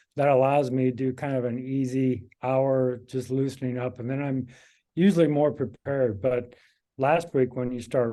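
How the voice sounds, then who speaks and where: A man with a Midwestern US accent, medium pitch and a dark, mellow tone at a moderate pace, over a quiet background. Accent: US Midwest. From Kansas. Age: 60s. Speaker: amateur cyclist. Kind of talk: casual interview.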